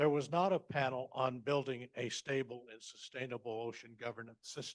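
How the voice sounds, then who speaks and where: This man speaks at a moderate pace with an American accent. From United States. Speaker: panelist, scholar. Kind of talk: conference talk. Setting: conference panel.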